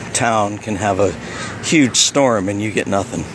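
A man's fairly low voice, dry sound with no echo, with noticeable background noise. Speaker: local vlogger filming the beach. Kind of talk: casual vlog chat. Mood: relaxed, amused. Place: beach. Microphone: phone near.

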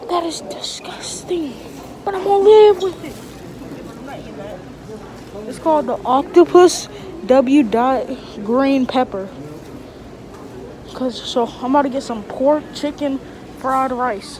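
A woman with a high pitch speaks at a very slow pace, with long, frequent pauses, big swings in loudness and light background noise. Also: dry sound with no echo. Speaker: vlogger. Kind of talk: casual vlog chat. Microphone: phone near.

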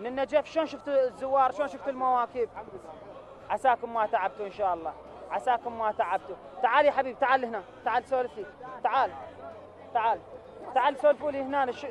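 In an Iraqi accent, someone talks at a fairly quick pace with long, frequent pauses, the sound dry with no echo and crowd noise in the background. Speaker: TV field reporter. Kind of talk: live field interviews. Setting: outdoors. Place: street. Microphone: handheld.

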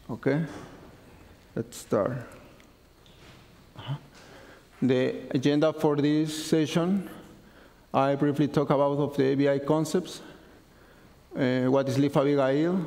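Speaking at a fairly slow pace with long, frequent pauses, a man uses monotone, flat intonation, a fairly high pitch and a dark, mellow tone. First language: not English. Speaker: conference speaker. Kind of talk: technical conference talk. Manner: halting. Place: classroom.

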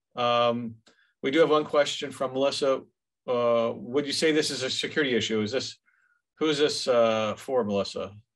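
A man's medium-pitched, fairly bright voice with ordinary pitch variation. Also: moderate pace.

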